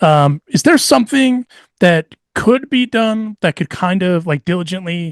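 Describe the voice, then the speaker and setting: A high-pitched man with lively intonation, dry and close with no echo, over a quiet background. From Mexico. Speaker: podcast host. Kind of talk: casual chat.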